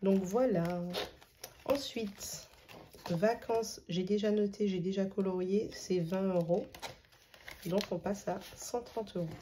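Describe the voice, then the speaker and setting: A woman's medium-pitched, fairly even voice at a very slow pace, broken by long, frequent pauses, over noticeable background noise. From Martinique. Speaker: budgeting youtuber. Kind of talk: casual vlog tutorial. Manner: hesitant, many filler sounds.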